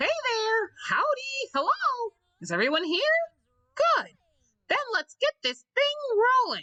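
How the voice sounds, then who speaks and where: A woman puts on a character voice at an extremely high pitch. She speaks at a fairly slow pace, leaving long, frequent pauses. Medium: dub. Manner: upbeat.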